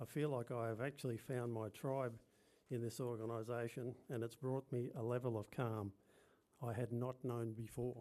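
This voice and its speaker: This man speaks with an Australian accent at medium pitch, his tone dark and mellow. His delivery is monotone and flat at a moderate pace, with very even loudness. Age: 70s. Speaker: speaker at a commemoration event; birth father and yoga teacher. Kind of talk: prepared personal testimony speech. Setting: function venue with live audience.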